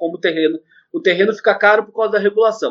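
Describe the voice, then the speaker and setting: A man talks very fast, his intonation lively. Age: 20s. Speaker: economist. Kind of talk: interview.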